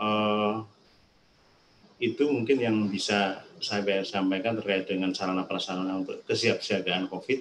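He has a normal speaking voice at a fairly low pitch. The man's intonation stays fairly even. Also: fairly slow pace. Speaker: disaster management official. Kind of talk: webinar presentation. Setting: video call.

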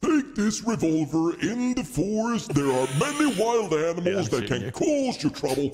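Clear background noise runs under this recording. A man uses a put-on character voice pitched high. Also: moderate pace. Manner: grandfatherly, instructing.

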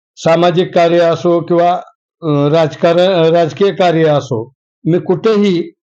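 This man's voice is dark and mellow, pitched high for a man, with fairly even intonation and very even loudness. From Maharashtra, Latur district (Renapur). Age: 50s. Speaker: local politician. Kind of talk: interview.

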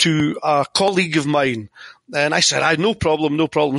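A man's fairly high, bright, sharp voice with a strong Scottish accent and a dry, close sound with no echo. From Scotland. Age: 50s. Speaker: tennis format inventor. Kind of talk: interview.

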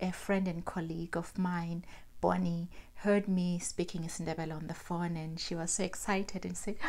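A woman is speaking. She has a Zimbabwean accent. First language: Ndebele. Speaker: self-published author. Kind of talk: casual vlog. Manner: animated. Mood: cheerful, laughing. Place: home room. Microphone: lapel.

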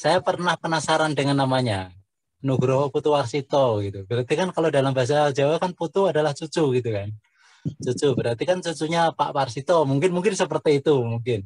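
A man's fairly high voice at a very fast pace, over a quiet background. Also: ordinary pitch variation, dry sound with no echo. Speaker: poetry community founder. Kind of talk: book discussion talk. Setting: video call. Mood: friendly, cheerful. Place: home room. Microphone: video call.

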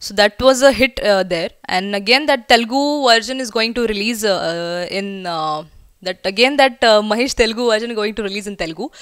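A woman speaks with a Marathi Indian accent and ordinary pitch variation. The sound is dry with no echo, over a quiet background. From India, Pune (Maharashtra); Maharashtra. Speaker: film actress. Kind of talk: promotional interview. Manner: hesitant, frequent fillers. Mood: relaxed, chatty. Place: home room. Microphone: handheld.

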